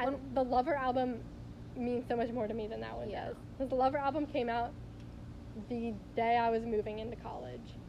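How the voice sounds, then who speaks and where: Long, frequent pauses break up a woman's fairly quick delivery. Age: young. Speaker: podcast co-host. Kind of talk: casual chat.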